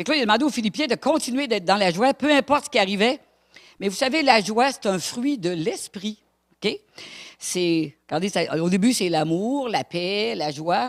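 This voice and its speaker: A woman talks at a moderate pace in a fairly high voice with very wide pitch swings. The recording is very clean, with a silent background. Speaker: preacher. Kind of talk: sermon. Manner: animated.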